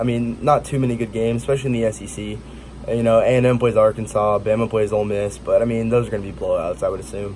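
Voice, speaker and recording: Amid noticeable background noise, a man with an American accent talks at a very fast pace. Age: young. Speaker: college football YouTuber. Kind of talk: casual sports commentary. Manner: halting, stuttering.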